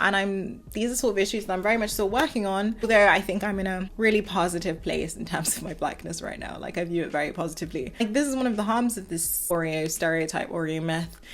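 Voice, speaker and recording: A woman with a strong southern English accent talks at a very fast pace with hardly any pauses and ordinary pitch variation, amid audible room echo. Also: medium pitch for a woman. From southern England. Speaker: video commentator. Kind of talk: casual commentary monologue. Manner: articulate, well-spoken.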